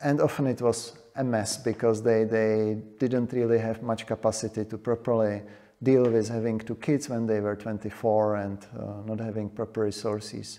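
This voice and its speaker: A man speaks at a moderate pace with a medium pitch, a dark, mellow tone and flat, monotone intonation. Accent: Czech. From Czechia. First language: Czech. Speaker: demographer. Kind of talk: panel discussion.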